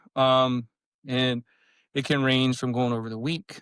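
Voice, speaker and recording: Recorded dry and close with no echo on a very clean track with a silent background, a man with an American accent speaks at a medium pitch. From US South, Alabama. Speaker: health coach, retired military officer. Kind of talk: podcast interview. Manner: fast.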